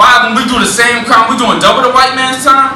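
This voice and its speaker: Over noticeable background noise and audible room echo, a man talks in a raised, projected voice. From New Orleans. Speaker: spoken word poet. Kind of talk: spoken word performance. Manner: rhythmic, emphatic delivery.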